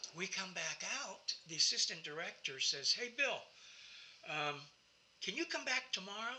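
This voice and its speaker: A man talks at a moderate pace with a high pitch and very wide pitch swings. Long, frequent pauses break up his speech over noticeable background noise. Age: 70s. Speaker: actor. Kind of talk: interview. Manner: halting.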